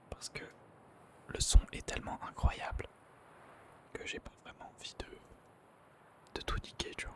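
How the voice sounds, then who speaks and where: A man whispering at a fairly slow pace, with big swings in loudness, long, frequent pauses and noticeable background noise. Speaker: gaming streamer. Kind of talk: casual gameplay commentary. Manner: whispering, hushed; casual, hesitant with fillers.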